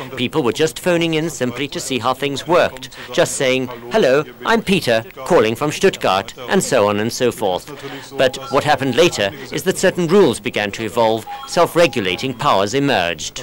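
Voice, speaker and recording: Light noise runs underneath speech that moves at a moderate speed. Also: man. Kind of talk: interview answer. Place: studio.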